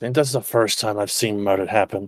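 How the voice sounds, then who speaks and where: A man puts on a raspy character voice, fairly low in pitch, with big swings in loudness. The sound is dry and close, with no echo. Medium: virtual streamer. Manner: blunt, deadpan.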